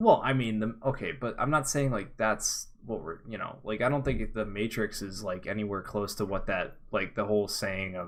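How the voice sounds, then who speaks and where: A plain, everyday voice at a moderate pace with hardly any pauses, in a very clean recording with a silent background. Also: man, fairly low pitch for a man, ordinary pitch variation. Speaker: podcast co-host. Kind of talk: casual chat.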